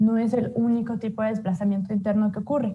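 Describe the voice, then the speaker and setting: A somewhat breathy voice, dark and mellow in tone, at a moderate pace with fairly even intonation. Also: woman. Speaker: human rights researcher presenting a report. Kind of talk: online report presentation. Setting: livestreamed webinar.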